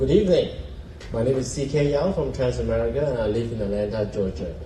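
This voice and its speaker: Over noticeable background noise and audible room echo, a man of medium pitch talks at a very fast pace with very wide pitch swings. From Malaysia and Singapore. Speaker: sponsor, cricket team owner. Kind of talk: public speech at event.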